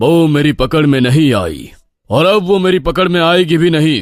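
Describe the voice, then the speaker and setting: On a very clean recording with a silent background, a man does a cartoonish character voice at a fairly high pitch and a moderate pace. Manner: authoritative.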